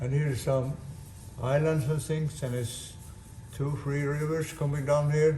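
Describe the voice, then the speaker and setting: A man with a fairly high voice speaks at a fairly slow pace in a monotone, flat way. Long, frequent pauses and audible room echo mark the clip. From Sweden. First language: Swedish. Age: 80s+. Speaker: sailor and boat builder. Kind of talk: casual video blog. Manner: halting.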